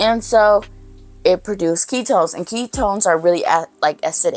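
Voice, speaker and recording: Music plays behind a woman talking at a moderate pace in a medium pitch. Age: 20s. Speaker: vlogger. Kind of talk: casual chat. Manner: animated.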